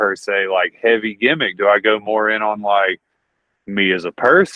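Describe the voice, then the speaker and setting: A man speaks with a Southern accent. His pitch sits fairly low. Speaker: wrestler. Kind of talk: casual, profane. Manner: casual, conversational.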